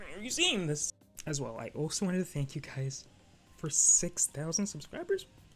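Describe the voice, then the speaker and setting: Fairly quick speech over music in the background. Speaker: anime YouTuber. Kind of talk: casual vlog commentary. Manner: soft-spoken; hesitant, filler words.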